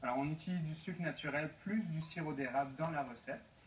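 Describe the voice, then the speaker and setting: A man speaks with a Breton accent. Noticeable background noise is present. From Brittany, France. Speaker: entrepreneur. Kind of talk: TV talk show interview. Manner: hesitant, many fillers and repetitions.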